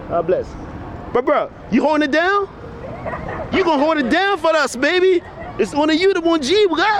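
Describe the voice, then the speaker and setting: A man's extremely high-pitched, animated voice at a moderate pace, with ordinary pitch variation, long, frequent pauses and crowd noise in the background. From Liberia. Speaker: vlogger. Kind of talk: casual chat. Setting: outdoors.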